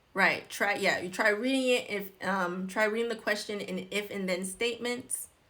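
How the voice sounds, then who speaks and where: Her tone bright and sharp, a woman of medium pitch speaks at a moderate pace with fairly even intonation and hardly any pauses. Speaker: nurse educator doing exam review. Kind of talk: live-stream tutorial. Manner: casual, filler-heavy.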